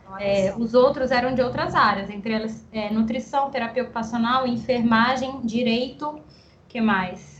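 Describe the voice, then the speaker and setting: Over noticeable background noise, a woman talks at a fairly slow pace with a fairly high pitch and fairly even intonation. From Guarulhos, São Paulo, Brazil. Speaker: speech therapist and researcher. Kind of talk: interview.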